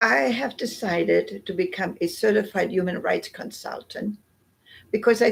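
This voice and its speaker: At a moderate pace, a woman talks with a German accent. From northern Germany. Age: 80s+. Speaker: Holocaust remembrance speaker, human rights consultant. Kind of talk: public talk, personal testimony. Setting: museum exhibit. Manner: halting, many fillers.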